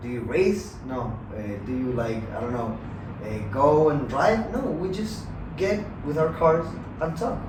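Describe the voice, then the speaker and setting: In a Chilean Spanish accent, a man with a fairly high pitch talks at a fairly slow pace with long, frequent pauses and very wide pitch swings, amid noticeable background noise and audible room echo. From Chile, Santiago. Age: 20s. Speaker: university student. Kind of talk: casual chat. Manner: halting.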